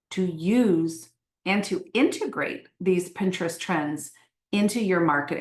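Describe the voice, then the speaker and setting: A woman's medium-pitched voice, lively intonation, fairly slow pace. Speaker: Pinterest marketing trainer. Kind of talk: online training webinar. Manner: animated.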